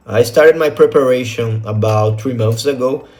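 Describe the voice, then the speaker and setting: A man with a Portuguese accent, a medium pitch and a moderate pace, over noticeable background noise. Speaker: test-prep student, financial advisor. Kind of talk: testimonial. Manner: hesitant, frequent fillers.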